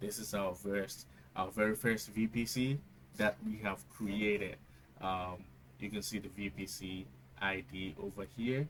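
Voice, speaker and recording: At a fairly slow pace, a man speaks with a Ghanaian accent. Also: fairly low pitch for a man, lively intonation. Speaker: tech tutorial youtuber. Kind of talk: tutorial. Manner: hesitant, many fillers.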